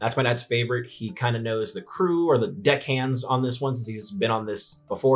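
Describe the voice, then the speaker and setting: Over music in the background, a man with an American accent talks at a very fast pace in an animated tone, at a medium pitch with ordinary pitch variation. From US West Coast, San Francisco Bay Area. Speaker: YouTuber, investing channel host. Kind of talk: casual vlog narration. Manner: halting, stuttering; casual, animated.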